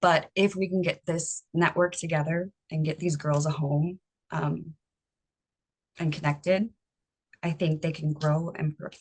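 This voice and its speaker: In a raspy, put-on character voice with monotone, flat intonation, the speech moves at a moderate pace with long, frequent pauses and a dry, close sound with no echo. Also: woman, very deep, low pitch for a woman. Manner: hesitant, stumbling.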